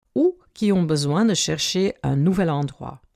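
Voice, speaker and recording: Someone with a Dutch accent speaks at a very slow pace, captured in a very clean recording with a silent background and a dry, close sound with no echo. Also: woman. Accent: Dutch-speaking accent in French. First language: Dutch (speaking French). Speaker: career coach and author. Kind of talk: podcast monologue.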